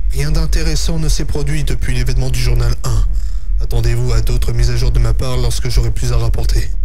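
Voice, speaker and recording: A man with a very deep, low pitch talks at a fairly quick pace in a monotone, flat intonation and very even loudness, with noticeable background noise. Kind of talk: creepypasta lore narration.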